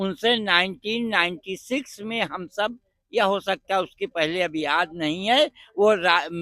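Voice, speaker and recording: A man talks at a high pitch, and his pitch varies in an ordinary way. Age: 70s. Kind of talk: interview. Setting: outdoors at a religious fair.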